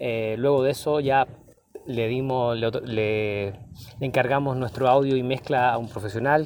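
Here a man speaks at a fairly slow pace. His pitch is medium and his intonation fairly even. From Chile, Valparaíso. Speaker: musician and teacher. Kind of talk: interview testimony. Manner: hesitant, frequent fillers.

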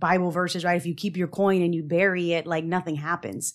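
On a very clean recording with a silent background, a woman in an American accent speaks at a fairly quick pace with a fairly low pitch and an unremarkable speaking voice. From Texas. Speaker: engineer. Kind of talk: casual chat.

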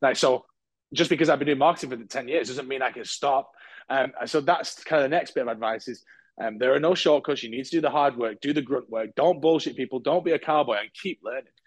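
Someone with a British accent speaks at a very fast pace, with ordinary pitch variation and big swings in loudness, over a quiet background. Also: man, fairly high pitch for a man. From UK. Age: 30s. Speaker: marketing agency founder. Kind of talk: casual interview chat.

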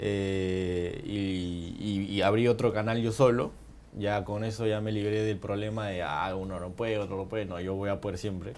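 A man speaks at a moderate pace and a fairly low pitch, his intonation fairly even. Room echo is audible. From Peru, Tarma (central highlands). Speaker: YouTuber. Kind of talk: casual interview.

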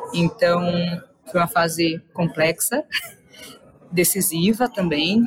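A woman's fairly low voice at a fairly slow pace, amid noticeable background noise. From Salvador, Bahia, Brazil. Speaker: entrepreneur and innovation speaker. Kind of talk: interview.

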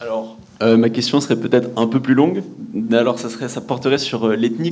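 Words come out very fast. The pitch varies in an ordinary way. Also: man. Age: young. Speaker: audience member. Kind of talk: audience question.

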